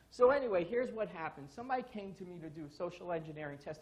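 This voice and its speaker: With a New York accent, a high-pitched man talks with lively intonation. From New York, Brooklyn. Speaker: security consultant, conference speaker. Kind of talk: conference talk. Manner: animated.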